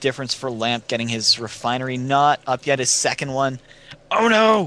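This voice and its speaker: Bright and sharp in tone, a man's voice moves at a moderate pace with a fairly high pitch. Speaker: esports commentator. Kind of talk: live commentary.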